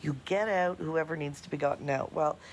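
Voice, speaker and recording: The speaker is a woman with an animated tone. She uses lively intonation. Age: 60s. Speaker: caller. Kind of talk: voicemail.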